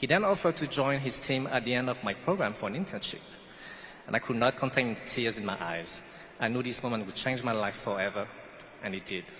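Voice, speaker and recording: Someone with a non-native accent speaks very fast with lively intonation over noticeable background noise. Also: man, medium pitch for a man. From French Guiana. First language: not English. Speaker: pastry chef, commencement speaker. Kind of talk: commencement speech.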